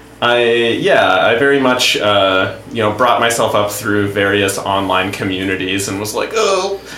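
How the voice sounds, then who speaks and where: A man with an American accent talks at a fairly slow pace, with hardly any pauses and lively intonation. Noticeable background noise runs underneath. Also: medium pitch for a man. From US South, Stafford County, Virginia. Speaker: improv teacher and comedian. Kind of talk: casual chat.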